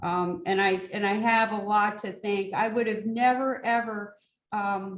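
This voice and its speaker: A woman talks at a fairly slow pace in a plain, everyday voice. Her pitch is medium and her intonation fairly even. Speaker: community program organizer. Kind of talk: online meeting presentation.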